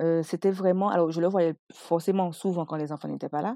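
An ordinary speaking voice from a woman, fairly low in pitch, at a moderate pace with ordinary pitch variation, dry and close with no echo. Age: 30s. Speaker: entrepreneur and mother. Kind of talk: personal testimony.

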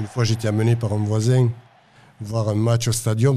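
Against a quiet background, a man speaks at a medium pitch. His tone is dark and mellow. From Toulouse, southwest France. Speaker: football supporter. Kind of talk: interview testimony. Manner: halting, repeats words.

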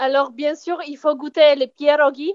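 Speaking fairly slowly with a Polish accent, a woman uses a high pitch and monotone, flat intonation. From southern Poland, near Kraków. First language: Polish (speaking French). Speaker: traveller. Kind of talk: casual chat. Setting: phone call.

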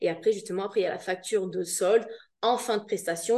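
A woman's dark, mellow voice at a medium pitch, fairly even in intonation, at a fairly quick pace. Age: 30s. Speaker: virtual assistant. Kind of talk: casual interview.

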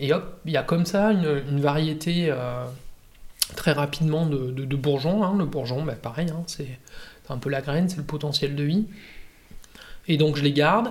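Noticeable background noise surrounds a man whose fairly high voice shows ordinary pitch variation and long, frequent pauses. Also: moderate pace. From Provence, southern France (Var). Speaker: winegrower. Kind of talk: casual interview. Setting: at his home. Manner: halting, many fillers.

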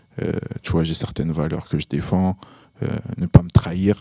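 With a dry, close sound and no echo, the voice moves at a fairly slow pace with ordinary pitch variation. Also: man. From Burkina Faso. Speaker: rapper. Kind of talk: casual chat. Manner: halting.

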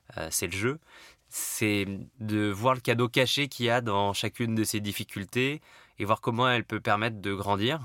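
A man's bright, sharp, medium-pitched voice at a moderate pace, with fairly even intonation, on a very clean recording with a silent background and a dry, close sound with no echo. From Paris, France. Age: 30s. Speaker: tech company CEO. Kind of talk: interview.

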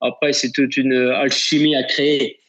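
A man with a fairly high pitch, at a fairly slow pace. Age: 60s. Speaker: football sporting director. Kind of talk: interview. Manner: hesitant, with fillers and repetitions.

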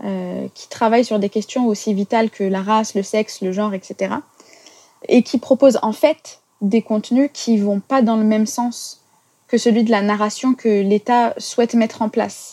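In a dry, close sound with no echo, a woman speaks in an ordinary speaking voice at a fairly high pitch with fairly even intonation. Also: fairly slow pace. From France. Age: 30s. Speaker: English teacher. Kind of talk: testimony.

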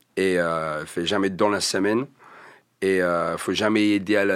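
Speaking at a very slow pace, a man with a slight English accent keeps a monotone, flat intonation. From England. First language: English (speaking French). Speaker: rapper. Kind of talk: casual interview chat.

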